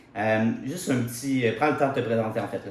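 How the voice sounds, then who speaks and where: There is audible room echo and noticeable background noise. A man talks through it at a fairly quick pace. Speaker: podcast host. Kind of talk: podcast interview.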